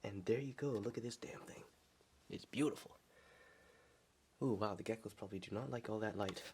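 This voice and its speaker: Soft-spoken and medium-pitched, a man talks with fairly even intonation and long, frequent pauses. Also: fairly quick pace. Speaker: pet keeper vlogger. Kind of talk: casual video tour. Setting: at home, room with tanks. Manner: quiet, talking softly; halting, many fillers.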